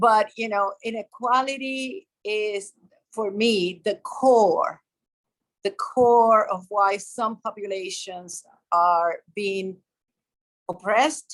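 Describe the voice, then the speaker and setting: A woman with a Puerto Rican accent talks at a very slow pace. Her voice is fairly high in pitch, with ordinary pitch variation. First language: Spanish. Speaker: developmental psychologist, professor. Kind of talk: interview.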